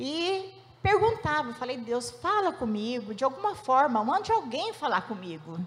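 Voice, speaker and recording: A woman with a high voice speaks at a fairly slow pace with very wide pitch swings. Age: 60s. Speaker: church member giving testimony. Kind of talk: testimony.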